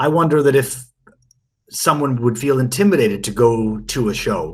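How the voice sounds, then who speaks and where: With ordinary pitch variation, a man at a medium pitch speaks in a somewhat breathy way. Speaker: podcast co-host, whisky expert. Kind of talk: casual podcast discussion. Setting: remote call.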